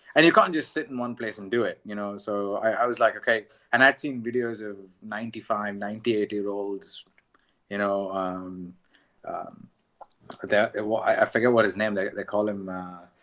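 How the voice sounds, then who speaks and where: A man's fairly low, bright, sharp voice at a moderate pace, with fairly even intonation and big swings in loudness. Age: 30s. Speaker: tabla student. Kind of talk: casual chat. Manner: halting. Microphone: poor audio quality.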